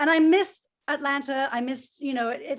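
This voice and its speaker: The woman's speech moves at a fairly quick pace. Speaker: former college radio DJ, music marketer. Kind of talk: panel discussion. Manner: energetic.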